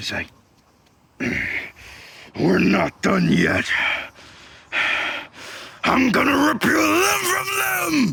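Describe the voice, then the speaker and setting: Growling in a put-on character voice, the speaker goes at a very slow pace with long, frequent pauses. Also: man. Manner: menacing, enraged.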